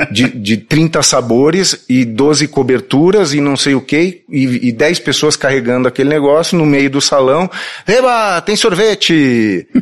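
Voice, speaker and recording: A man with a southern Brazilian accent speaks at a fairly high pitch with lively intonation and very even loudness. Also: fairly slow pace. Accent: gaúcho. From southern Brazil, Porto Alegre. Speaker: advertising agency CEO. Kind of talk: interview.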